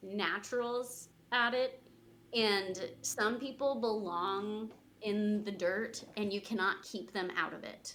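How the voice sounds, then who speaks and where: A woman's fairly high voice in an American accent, bright and sharp in tone, very slow, with ordinary pitch variation. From Missouri, Springfield. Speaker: community garden organization staff. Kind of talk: podcast interview.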